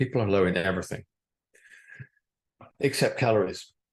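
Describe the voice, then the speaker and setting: A man talks in a fairly low pitch, his voice somewhat breathy. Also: quiet background. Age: 70s. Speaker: doctor giving a health talk. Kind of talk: lecture. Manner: formal.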